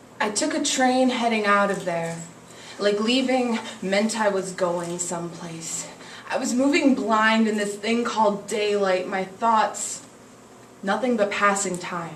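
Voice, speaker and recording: Over noticeable background noise, a woman with a medium pitch speaks at a fairly slow pace with ordinary pitch variation. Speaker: slam poet. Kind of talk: spoken word poetry performance. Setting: live cafe open mic.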